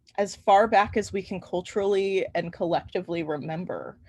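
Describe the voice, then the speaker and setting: Vocal fry marks the speech of a woman with an American accent. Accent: Midwestern Chicago accent, slips out. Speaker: university history instructor. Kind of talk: online lecture. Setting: online class with chat. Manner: casual, filler-heavy.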